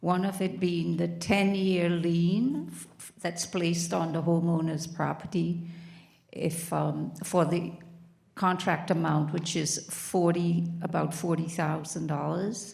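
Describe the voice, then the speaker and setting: Very slow, flat and monotone, the voice carries vocal fry and big swings in loudness. Room echo is audible. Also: woman, fairly low pitch for a woman. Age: 70s. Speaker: homeowner speaking at public comment. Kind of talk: public comment at council meeting. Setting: municipal council meeting hall. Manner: halting.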